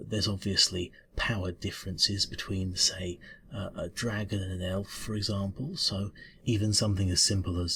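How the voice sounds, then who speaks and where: A man's put-on character voice, mumbling at a moderate pace with a very deep, low pitch. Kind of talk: ASMR roleplay. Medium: solo performance. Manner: mumbling, hesitant, stammering.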